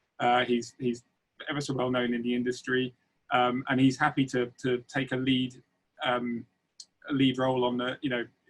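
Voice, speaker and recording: A man with a medium-pitched voice speaks in a flat monotone, leaving long, frequent pauses. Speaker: corporate communications professional. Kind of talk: webinar talk. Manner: fast.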